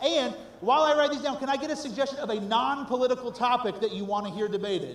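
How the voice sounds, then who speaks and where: An animated man talks very fast at an extremely high pitch with ordinary pitch variation, amid audible room echo and noticeable background noise. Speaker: improv show emcee. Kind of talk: live stage hosting. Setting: stage with audience.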